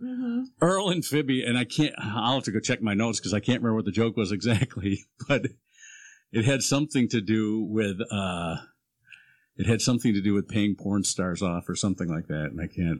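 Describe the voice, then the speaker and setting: A man speaks fairly quickly in a plain, everyday voice, fairly low in pitch with ordinary variation. The recording is very clean, the background silent. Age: 60s. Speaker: podcast guest. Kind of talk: casual chat.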